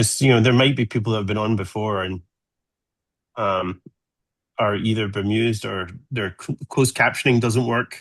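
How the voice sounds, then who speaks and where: Against a quiet background, a man with an American accent speaks at a moderate pace in a fairly low voice, fairly even in intonation, with long, frequent pauses. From Scotland, Glasgow. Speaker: solar physicist. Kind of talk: presentation to amateur radio group.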